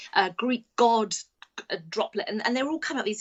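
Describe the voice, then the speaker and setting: A woman with an English accent, high-pitched, at a very fast pace with ordinary pitch variation. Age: 50s. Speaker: children's author. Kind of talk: casual chat. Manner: halting.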